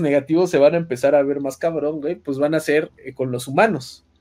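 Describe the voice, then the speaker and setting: At a moderate speed, this man talks in a dark, mellow tone. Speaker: podcast narrator. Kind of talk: lore storytelling narration. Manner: filler-heavy casual.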